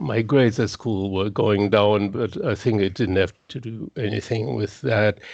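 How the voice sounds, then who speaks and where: Fairly low-pitched, a man talks with a German accent. He takes hardly any pauses. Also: ordinary pitch variation, fairly slow pace. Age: 60s. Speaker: guitarist. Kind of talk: casual chat. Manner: halting.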